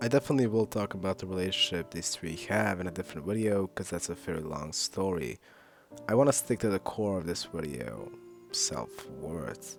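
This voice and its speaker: With music in the background, a man with a very deep, low pitch speaks at a moderate pace and makes very wide pitch swings. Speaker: video essayist. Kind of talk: video essay narration.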